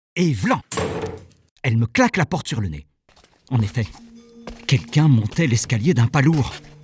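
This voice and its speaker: A man's medium-pitched voice with lively intonation and long, frequent pauses, dry and close with no echo, over music in the background. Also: moderate pace. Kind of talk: short story narration, first person. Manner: conversational, humorous.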